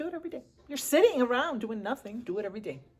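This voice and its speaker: Somewhat breathy and animated, a woman with an American accent talks at a fairly quick pace. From US Midwest, Chicago inner city. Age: 60s. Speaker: lifestyle vlogger. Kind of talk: casual vlog talk to camera. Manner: chatty, animated.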